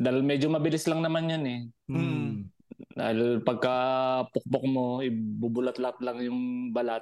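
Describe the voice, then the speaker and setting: A normal speaking voice with ordinary pitch variation at a moderate pace. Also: man. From Batangas, Philippines. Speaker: overseas Filipino worker, podcast listener. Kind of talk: casual chat.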